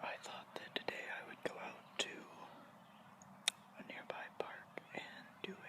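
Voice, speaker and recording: Whispering at a fairly slow pace with long, frequent pauses, the voice is set against noticeable background noise. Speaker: college student. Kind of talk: casual ASMR ramble. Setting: outdoors. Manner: whispered.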